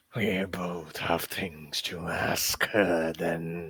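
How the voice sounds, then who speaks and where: A raspy, put-on character voice at a very slow pace. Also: man, very deep, low pitch for a man. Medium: actual play. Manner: cryptic, menacing.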